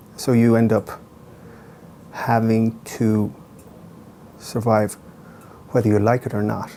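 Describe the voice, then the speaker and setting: A man's medium-pitched, monotone voice with an Irish accent, fairly slow and broken by long, frequent pauses. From Ireland. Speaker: playwright. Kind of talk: interview. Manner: thoughtful with frequent hesitations.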